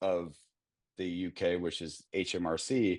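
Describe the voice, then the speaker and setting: The background stays quiet. A man talks in an American accent. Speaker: customer experience consultant. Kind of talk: conference panel talk.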